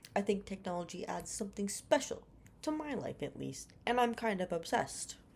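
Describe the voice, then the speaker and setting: A woman talks with lively intonation and vocal fry. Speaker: teacher's college student. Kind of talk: scripted reflection for a class assignment.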